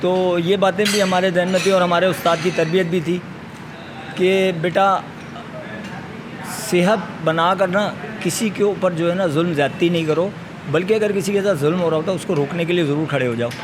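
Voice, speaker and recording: There is audible room echo and noticeable background noise as a man speaks at a high pitch. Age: 60s. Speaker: retired bodybuilder. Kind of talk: interview.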